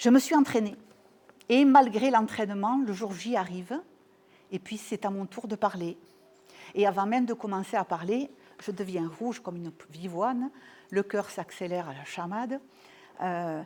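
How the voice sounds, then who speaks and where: The voice has a dark, mellow tone and ordinary pitch variation, with big swings in loudness. It moves at a moderate pace with long, frequent pauses. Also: woman, medium pitch for a woman. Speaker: couple and family therapist. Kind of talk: talk to an audience, personal testimony. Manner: hesitant, many fillers and repetitions.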